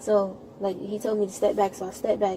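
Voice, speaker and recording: Over noticeable background noise, a woman speaks at a medium pitch and a very fast pace in a monotone, flat intonation. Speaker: witness, sibling of victim. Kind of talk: police witness statement. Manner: halting.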